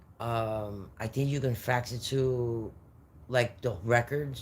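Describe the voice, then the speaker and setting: A man talks with an American accent. His medium-pitched voice is somewhat breathy. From New York. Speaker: livestreamer. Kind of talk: casual live stream chat. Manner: animated.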